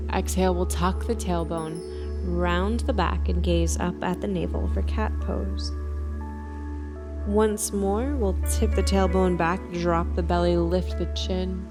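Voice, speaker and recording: A soft-spoken woman talks very slowly in a very deep, low voice with a calm tone. Her intonation is monotone and flat, and music plays in the background. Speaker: yoga teacher. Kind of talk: guided yoga instruction. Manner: soft-spoken, calm.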